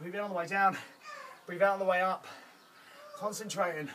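A man uses a raised, projected voice with fairly even intonation against light background noise. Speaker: fitness instructor. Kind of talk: workout coaching. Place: garden.

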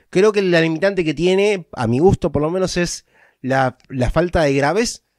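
Recorded very cleanly against a silent background, with a dry, close sound and no echo, a man speaks at a moderate pace. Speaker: YouTuber giving tech advice. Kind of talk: tutorial. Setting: home recording setup. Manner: halting.

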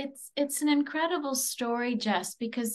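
A woman speaks with a Canadian accent and a somewhat breathy voice. Her pitch varies in an ordinary way. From Barrie, Ontario, Canada; Ontario. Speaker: podcast host. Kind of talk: interview. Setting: virtual event. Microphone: webcam.

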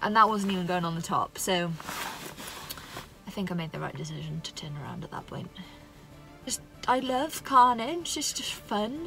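Against clear music in the background, a woman talks at a moderate pace with long, frequent pauses and big swings in loudness, the sound dry with no echo. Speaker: solo travel vlogger. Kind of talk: casual vlog chat. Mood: wry, self-mocking. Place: car. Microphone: phone near.

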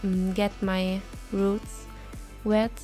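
A woman talks at a very slow pace with a non-native accent. Music plays in the background. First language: non-native English speaker. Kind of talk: casual vlog voiceover. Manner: casual, hesitant.

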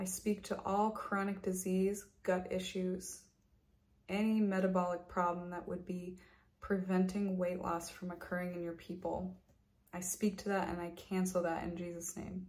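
A somewhat breathy woman at a moderate pace, with monotone, flat intonation. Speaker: health and wellness coach and video creator. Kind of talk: fervent prayer, spoken intercession over viewers. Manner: earnest, commanding, declaring prayers with conviction; warm, pastoral. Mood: calm, earnest. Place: home room. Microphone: webcam.

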